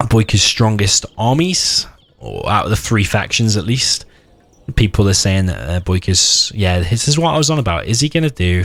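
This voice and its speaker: Over noticeable background noise, a man with a fairly low voice speaks at a moderate pace with lively intonation. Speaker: game tournament caster. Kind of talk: live commentary. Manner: loud; animated.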